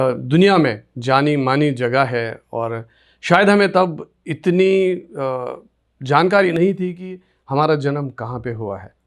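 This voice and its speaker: On a very clean recording with a silent background, a man speaks in an unremarkable speaking voice at a fairly high pitch. His intonation is lively, with big swings in loudness. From Kashmir, Sopore area (Baramulla district). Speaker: radio presenter. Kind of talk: interview, life story.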